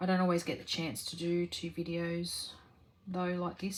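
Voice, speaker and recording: A soft-spoken woman with an Australian accent, somewhat breathy and fairly low in pitch, at a moderate pace. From Australia, rural New South Wales. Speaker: crafting vlogger. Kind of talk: casual Q&A chat while crafting. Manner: halting, many fillers.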